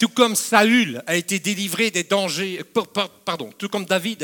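A man's high-pitched, animated voice at a moderate pace, with a dry, close sound and no echo. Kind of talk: sermon. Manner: animated, emphatic preacher with repeated phrases and direct appeals to the congregation.

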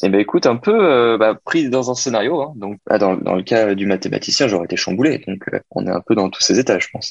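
At a fairly quick pace with hardly any pauses, a man speaks at a medium pitch with ordinary pitch variation, the sound dry and close with no echo. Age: 20s. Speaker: business student. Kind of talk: role-play interview. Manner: hesitant, repeating words.

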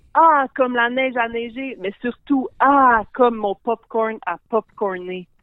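At a very slow pace with hardly any pauses, a woman speaks at a high pitch with ordinary pitch variation. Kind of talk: casual chat.

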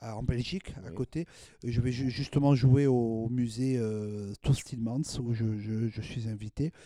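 At a very slow pace, a man speaks with a dark, mellow tone, medium pitch and fairly even intonation. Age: 40s. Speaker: jazz accordionist. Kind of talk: casual chat. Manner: halting.

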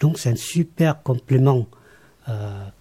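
A somewhat breathy man's voice, dark and mellow in tone, at a medium pitch with ordinary pitch variation. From Laos. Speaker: meditation teacher. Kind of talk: interview.

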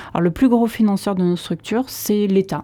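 A woman speaks at a medium pitch. Her pace is fairly quick, with ordinary pitch variation. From Landes, France. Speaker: association director. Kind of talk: radio interview. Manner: hesitant.

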